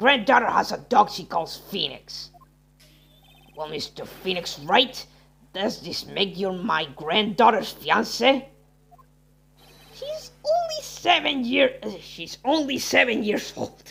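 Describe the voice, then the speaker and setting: A put-on character voice with a fairly high pitch. It moves at a fairly slow pace with long, frequent pauses. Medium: game stream.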